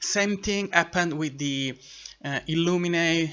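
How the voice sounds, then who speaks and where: A man with an Italian accent, fairly high in pitch, at a fairly slow pace. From Italy, Sicily. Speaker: booktuber. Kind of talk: casual chat. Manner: halting, with fillers and restarts.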